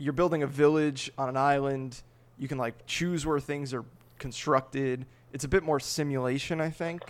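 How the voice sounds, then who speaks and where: Speaking at a moderate pace, a man keeps his pitch fairly high. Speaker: podcast host. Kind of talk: casual chat. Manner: animated.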